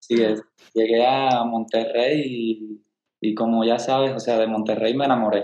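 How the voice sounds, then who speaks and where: At a fairly slow pace, a man of medium pitch speaks in a flat monotone with very even loudness. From Cuba, Caibarién. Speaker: ballet dancer. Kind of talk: casual interview.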